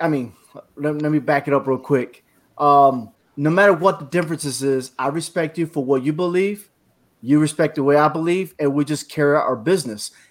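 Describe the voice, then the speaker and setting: With a plain, everyday voice, a man speaks at a moderate pace, his fairly high pitch showing ordinary pitch variation. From New Britain, Connecticut. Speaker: military veteran, podcast panelist. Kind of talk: panel discussion.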